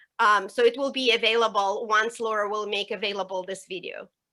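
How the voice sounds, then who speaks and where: On a very clean recording with a silent background, a woman with a non-native accent speaks at a moderate pace in a bright, sharp tone. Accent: foreign. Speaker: professor. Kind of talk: panel discussion.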